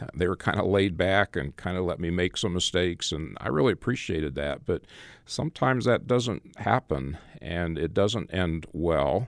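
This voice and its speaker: A man's very deep, low voice with vocal fry, lively intonation and an American accent, at a moderate pace, in a dry, close sound with no echo on a very clean recording with a silent background. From Arizona, US (Phoenix). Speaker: rural church ministry director and author. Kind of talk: interview.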